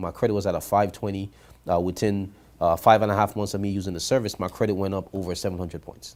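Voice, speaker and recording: Talking at a very fast pace, a man with a Grenadian accent uses a fairly low pitch. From Grenada. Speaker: credit repair business owner. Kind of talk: interview.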